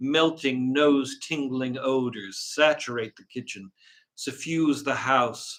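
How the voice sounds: Natural reading voice, little noise around it.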